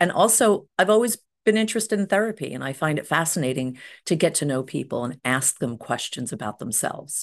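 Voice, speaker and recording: A woman with an American accent talks at a fairly quick pace in a very deep, low pitch. Her pitch swings very widely over a quiet background. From US Northeast. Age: 60s. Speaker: hypnotherapist. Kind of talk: interview.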